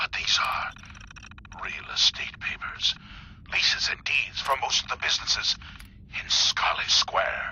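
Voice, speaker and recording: A man whispering in a put-on character voice at a fairly slow pace. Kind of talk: 1940s radio acting. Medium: short film.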